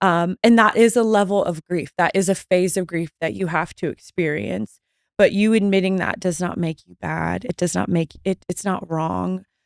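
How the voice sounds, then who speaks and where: A woman with a normal speaking voice talks at a moderate pace and fairly low pitch, with ordinary pitch variation, hardly any pauses and a dry, close sound with no echo. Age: 30s. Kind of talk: faith-based interview conversation. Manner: warm and reassuring.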